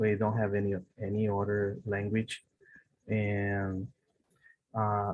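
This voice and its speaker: The speaker talks at a very slow pace with a Brazilian Portuguese accent. Long, frequent pauses break up the monotone, flat intonation. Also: man, fairly low pitch for a man. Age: 30s. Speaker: English learner. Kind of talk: online language lesson conversation. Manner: halting, many fillers and repetitions.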